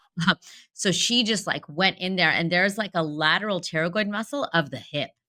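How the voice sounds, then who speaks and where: A woman speaks loudly at a fairly quick pace. Her tone is animated, bright and sharp. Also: medium pitch for a woman, ordinary pitch variation. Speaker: dentist, podcast co-host. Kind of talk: casual chat.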